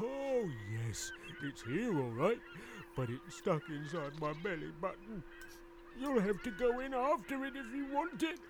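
A man puts on a high-pitched character voice at a moderate pace, with long, frequent pauses. Background noise is clearly audible. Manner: polite, cheerful.

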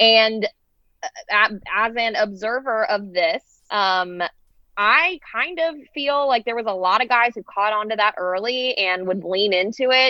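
A woman with a plain, everyday voice speaks at a fairly slow pace, her fairly high pitch showing ordinary variation. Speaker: podcast owner and co-host. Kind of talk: casual chat.

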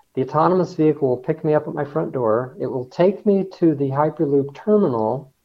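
A man with a General American accent speaks at a fairly quick pace, hardly pausing at all. His pitch is fairly high and varies in an ordinary way. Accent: General American (Colorado). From Denver, Colorado. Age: 60s. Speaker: engineer and hyperloop research leader. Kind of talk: interview.

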